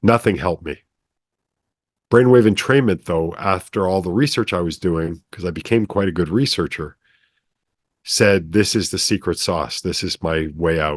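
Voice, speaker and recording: Very deep and low, a man's voice moves at a moderate pace with ordinary pitch variation. The background is quiet. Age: 60s. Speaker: brainwave entrainment developer. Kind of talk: casual interview storytelling.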